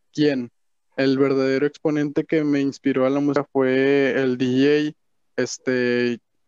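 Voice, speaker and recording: A man speaks with a northern Mexican accent in monotone, flat intonation. The sound is dry and close, with no echo. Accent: northern Mexican (regio) Spanish. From Monterrey, Mexico. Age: young. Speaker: music producer. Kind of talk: casual chat.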